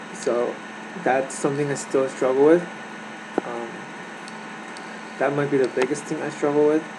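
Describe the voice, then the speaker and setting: A fairly high-pitched man at a moderate pace, flat and monotone, with noticeable background noise. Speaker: vlogger sharing personal mental health story. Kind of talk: personal testimony monologue. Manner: soft-spoken; halting, many fillers and restarts.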